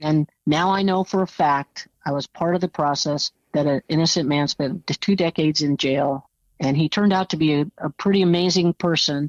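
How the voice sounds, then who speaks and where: With very even loudness and a dry, close sound with no echo, a woman speaks at a moderate pace in a very deep, low pitch. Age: 60s. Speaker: former juror. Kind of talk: interview.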